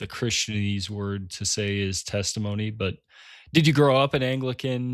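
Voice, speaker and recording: A man in a plain, everyday voice speaks with ordinary pitch variation on a very clean recording with a silent background. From United States. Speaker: podcast co-host. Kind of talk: casual chat.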